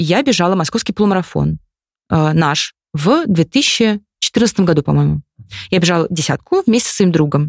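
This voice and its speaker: Lively intonation carries an ordinary speaking voice at a moderate pace. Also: woman, fairly low pitch for a woman. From Moscow region, Russia (Khimki). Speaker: communications director and amateur runner. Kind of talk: casual interview.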